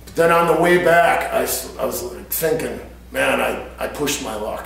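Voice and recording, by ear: A man with vocal fry speaks at a moderate pace and medium pitch amid strong room echo.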